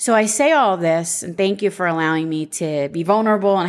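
Moving at a moderate pace, this is a normal speaking voice with ordinary pitch variation. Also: woman. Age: 40s. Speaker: podcast host, life insurance agent. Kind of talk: solo podcast monologue.

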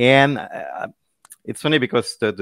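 In a French accent, a man talks at a fairly quick pace with fairly even intonation. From France (Paris). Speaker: tech solutions architect. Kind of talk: interview. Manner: halting.

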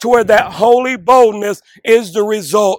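A man speaks in a high voice. His pace is very slow. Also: dry, close sound with no echo. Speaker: chaplain and undersheriff. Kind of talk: sermon-style call to prayer; fervent prayer. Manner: earnest, impassioned, preacher-like; fervent, imploring.

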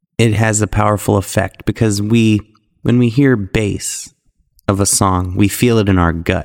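A man speaks in a plain, everyday voice, fairly low in pitch and at a fairly slow pace. His intonation is fairly even, and the sound is dry and close with no echo. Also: very even loudness. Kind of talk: guided meditation. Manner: slow, calm and soothing, with long hummed stretches.

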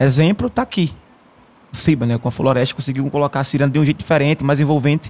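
Fairly high in pitch, a man speaks at a very fast pace with ordinary pitch variation. The sound is dry and close with no echo. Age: 20s. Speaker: traditional musician, maracatu and ciranda master. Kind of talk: interview.

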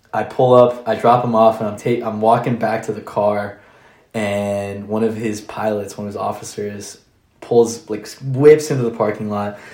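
A man speaks with an American accent and fairly even intonation. There is audible room echo. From Orlando, Florida. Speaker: coffee shop owner, military member. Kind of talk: casual interview chat.

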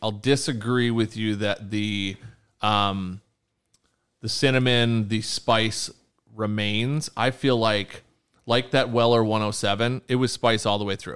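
A man with an unremarkable speaking voice talks at medium pitch and a fairly slow pace, his intonation fairly even. The recording is very clean with a silent background. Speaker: whiskey podcast host. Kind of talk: casual chat, whiskey tasting review. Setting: home bar recording space.

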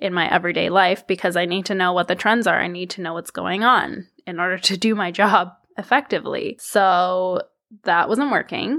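A woman's bright, sharp voice at a medium pitch, with a Canadian accent, a moderate pace and ordinary pitch variation, in a very clean recording with a silent background. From Canada, Toronto. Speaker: podcast host. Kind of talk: solo casual monologue.

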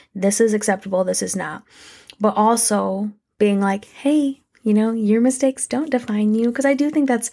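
A normal speaking voice at a moderate pace. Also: woman, very clean recording, silent background. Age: 20s. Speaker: podcast host. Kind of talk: personal monologue. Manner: casual.

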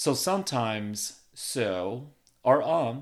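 The recording is very clean, with a silent background. A man speaks at a medium pitch. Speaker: podcast host. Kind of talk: solo podcast monologue. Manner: uses filler ums.

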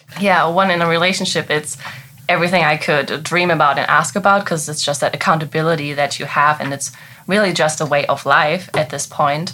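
The tone is bright and sharp, with a German accent. Delivery is fairly quick, with fairly even intonation. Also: woman, very deep, low pitch for a woman. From Germany. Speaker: business owner. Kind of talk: interview.

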